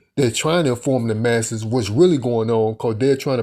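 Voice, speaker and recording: A man's dark, mellow tone at a medium pitch with fairly even intonation, on a very clean recording with a silent background. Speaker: religious commentator. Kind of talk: casual monologue. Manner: halting.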